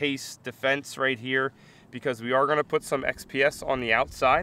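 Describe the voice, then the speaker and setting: A man speaks in a tone that is bright and sharp. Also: dry sound with no echo. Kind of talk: casual vlog chat. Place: open country. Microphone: phone near.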